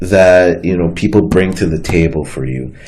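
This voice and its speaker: Noticeable background noise and audible room echo surround a man speaking at a very deep, low pitch. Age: 20s. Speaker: talk show host, college student. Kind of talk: casual chat.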